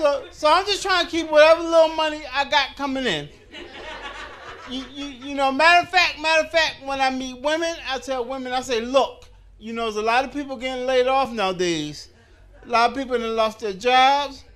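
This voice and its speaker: With noticeable background noise around him, a man talks at a fairly quick pace in an extremely high pitch with ordinary pitch variation. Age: 50s. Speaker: stand-up comedian. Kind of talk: stand-up. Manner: stammering repetitions.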